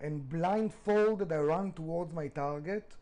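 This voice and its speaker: A man speaks with a dark, mellow tone and a fairly high pitch. His intonation is lively. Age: 40s. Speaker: restaurant founder. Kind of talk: interview.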